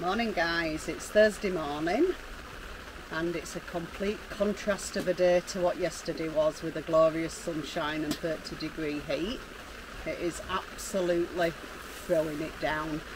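A woman talks at a fairly slow pace with a fairly low pitch, the sound dry with no echo and noticeable background noise. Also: fairly even intonation. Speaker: travel vlogger. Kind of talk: casual vlog chat. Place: tent. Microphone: camera far.

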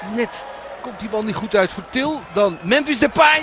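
A high-pitched man talks fairly slowly, his pitch varying in an ordinary way, while noticeable background noise continues. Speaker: football commentator. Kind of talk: live football commentary. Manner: excitable at chances, with exclamations.

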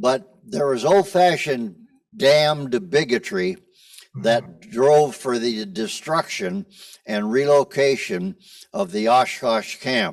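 The pitch swings very widely in an Upper Midwest accent. The pace is very slow. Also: man, fairly high pitch for a man. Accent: Upper Midwest American. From Rapid City, South Dakota. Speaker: former mayor, audience member. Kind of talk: audience comment. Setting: theater with live audience.

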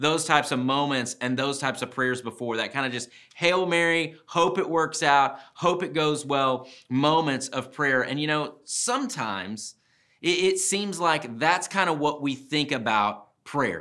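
Against a quiet background, a man speaks at a fairly slow pace. His tone is bright and sharp, with ordinary pitch variation. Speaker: speaker. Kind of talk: devotional talk to camera. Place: studio.

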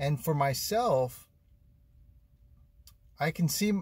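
A somewhat breathy man speaks at a very slow pace. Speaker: vlogger living in his car. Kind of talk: casual vlog chat. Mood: reflective, earnest. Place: car. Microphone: phone near.

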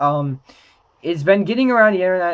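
The voice belongs to a man. Ordinary pitch variation marks his speech. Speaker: trading card game YouTuber. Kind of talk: casual talk to camera. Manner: hesitant, many filler words. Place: home room.

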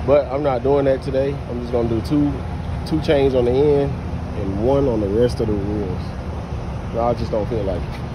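Noticeable background noise sits behind a man who speaks with long, frequent pauses. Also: moderate pace. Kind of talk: casual vlog tutorial. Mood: relaxed, a bit weary. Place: street. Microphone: phone near.

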